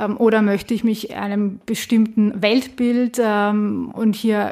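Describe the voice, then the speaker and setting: Speaking at a fairly slow pace, a woman uses a fairly high pitch and a monotone, flat intonation. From Austria, Vienna. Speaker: political scientist. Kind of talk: interview. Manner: hesitant, many fillers.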